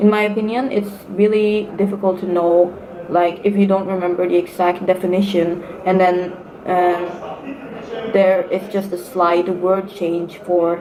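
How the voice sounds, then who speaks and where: A woman with a Norwegian accent speaks in a flat monotone. Noticeable background noise and audible room echo fill the recording. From Norway. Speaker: student vlogger. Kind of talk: casual vlog advice talk. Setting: sitting at university. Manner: hesitant, many fillers.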